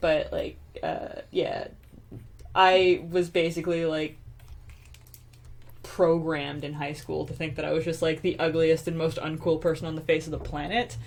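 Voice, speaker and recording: A woman talks at a moderate pace. Her speech has long, frequent pauses. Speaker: artist and web video writer. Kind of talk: casual chat. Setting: home live stream.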